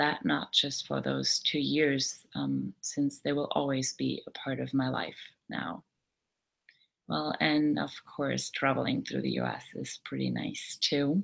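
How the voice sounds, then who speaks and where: A woman with a German accent, at a fairly slow pace. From Germany. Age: 20s. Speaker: au pair. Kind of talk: live webinar talk. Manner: hesitant, many fillers.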